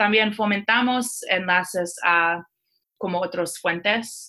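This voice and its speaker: In a bright, sharp tone, a woman speaks at a medium pitch and a fairly slow pace with ordinary pitch variation. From Iran and Seattle. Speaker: tech company community manager. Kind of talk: interview. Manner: halting.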